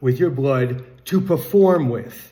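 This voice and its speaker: A man's somewhat breathy, dark and mellow voice at medium pitch, with ordinary pitch variation and a very slow pace. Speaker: music commentary vlogger. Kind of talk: casual monologue.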